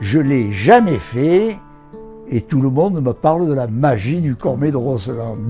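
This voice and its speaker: With a southern French accent, a man talks at a very slow pace with lively intonation as music plays in the background. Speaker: adventurer and poet. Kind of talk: interview answer. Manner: storytelling, casual.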